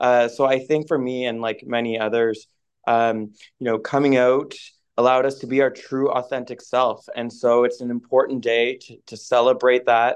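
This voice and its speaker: A man speaks at a moderate pace with monotone, flat intonation and big swings in loudness. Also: medium pitch for a man. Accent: Maritime Canadian. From Atlantic Canada, Moncton, New Brunswick. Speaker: finance professional. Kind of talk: interview.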